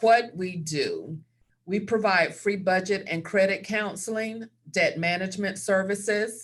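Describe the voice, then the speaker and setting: In a Southern US accent, a woman with a medium pitch and a somewhat breathy voice talks at a fairly slow pace with fairly even intonation. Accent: Southern American. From US South. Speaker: credit counselor. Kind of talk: webinar presentation. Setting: video call.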